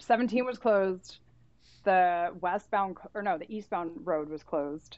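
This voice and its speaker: A normal speaking voice with an American accent moves at a fairly slow pace with ordinary pitch variation. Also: woman, medium pitch for a woman, big swings in loudness. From Santa Cruz, California. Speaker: literary editor. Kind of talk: casual chat.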